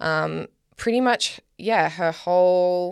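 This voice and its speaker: Recorded very cleanly against a silent background, a woman with an Australian accent speaks at a fairly low pitch, the sound dry and close with no echo. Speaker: podcast co-host. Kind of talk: casual chat.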